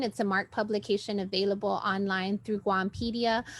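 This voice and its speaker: With monotone, flat intonation, a woman speaks at a medium pitch. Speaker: community organizer. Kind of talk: honoree introduction. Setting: livestream video call.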